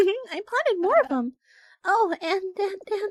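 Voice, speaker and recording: A squeaky, extremely high female-sounding put-on character voice at a fairly slow pace. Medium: game stream. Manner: soft, warm, giggly, hesitant.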